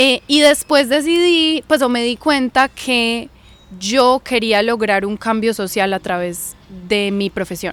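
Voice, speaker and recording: A woman talks at a very slow pace with a fairly high pitch. Her intonation is lively. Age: 20s. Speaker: journalist and university student. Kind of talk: podcast interview. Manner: hesitant, with fillers.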